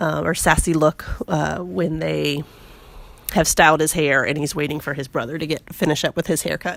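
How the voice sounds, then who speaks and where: A woman speaks with a very deep, low pitch and vocal fry. Her pace is moderate and her pitch varies in an ordinary way. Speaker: scrapbooking video creator. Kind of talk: voice-over tutorial. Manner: casual, with fillers.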